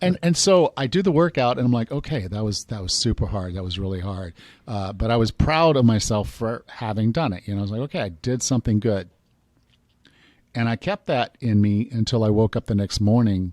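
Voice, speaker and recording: A man speaks at a fairly quick pace and a medium pitch, with lively intonation. The recording is very clean, with a silent background. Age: 50s. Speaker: personal trainer and fitness podcast host. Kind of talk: interview conversation. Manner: animated storytelling.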